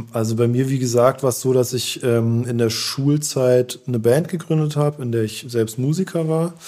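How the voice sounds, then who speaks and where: A man talks in an unremarkable speaking voice at medium pitch. His pace is moderate, his pitch variation ordinary, and he leaves hardly any pauses. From Germany, Heidelberg. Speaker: artist manager. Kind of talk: interview.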